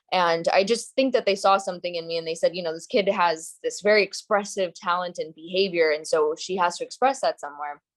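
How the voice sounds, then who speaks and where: A woman's medium-pitched voice with a New Jersey accent, at a fairly quick pace with hardly any pauses. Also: ordinary pitch variation. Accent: American (New Jersey). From US, New Jersey. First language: Gujarati. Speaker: actress. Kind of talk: interview.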